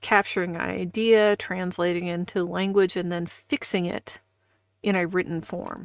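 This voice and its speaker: A woman with a Midwestern US accent speaks at a medium pitch and a moderate pace. The recording is very clean, with a silent background. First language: not English. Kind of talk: casual chat. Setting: live stream.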